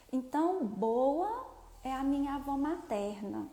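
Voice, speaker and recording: A woman with a high pitch and a dark, mellow tone speaks at a very slow pace. Audible room echo surrounds her voice. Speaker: therapist. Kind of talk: live stream talk. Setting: live video stream.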